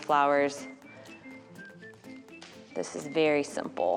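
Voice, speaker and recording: A woman is speaking. Music can be heard in the background. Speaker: florist. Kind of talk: DIY tutorial talk to camera.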